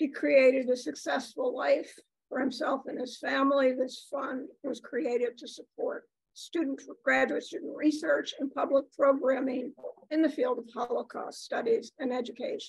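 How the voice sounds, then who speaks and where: At a moderate pace, the speaker uses ordinary pitch variation, and the sound is dry with no echo against a quiet background. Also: woman, high pitch for a woman. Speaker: university professor emerita introducing speaker. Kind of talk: formal introduction. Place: meeting room. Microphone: podium.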